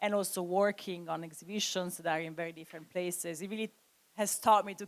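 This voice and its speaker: A woman with an Italian accent speaks at a fairly quick pace in a fairly low pitch, her intonation fairly even. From Italy. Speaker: curator. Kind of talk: panel discussion. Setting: stage with audience.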